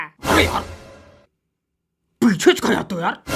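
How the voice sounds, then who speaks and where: A cartoonish character voice at a middle pitch plays over sound effects in the background. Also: moderate pace. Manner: scolding, brash.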